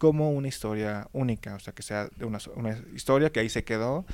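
A man speaks with a Mexican accent at a medium pitch. His pace is fairly quick. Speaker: podcast host. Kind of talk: casual chat.

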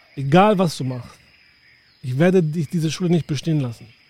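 A man with a fairly high voice talks at a moderate pace with ordinary pitch variation as noticeable background noise carries on. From northern Germany, southern Hamburg. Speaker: podcast host, tour guide. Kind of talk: casual chat.

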